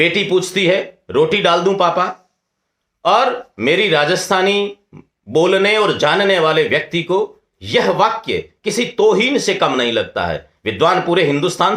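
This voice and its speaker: A man with a Rajasthani accent speaks in a high pitch with a bright, sharp tone. His pitch varies in an ordinary way. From Rajasthan, India. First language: Rajasthani (speaking Hindi). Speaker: scholar, lecturer. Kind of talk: lecture. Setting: webinar.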